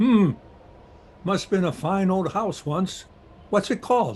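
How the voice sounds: A man puts on a character voice, high-pitched, slightly mellow and with a slightly husky edge, speaking slowly with lively intonation.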